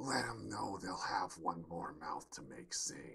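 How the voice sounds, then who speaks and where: A man speaks in a raspy, put-on character voice at a fairly slow pace. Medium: read story. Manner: drawling, smug and taunting.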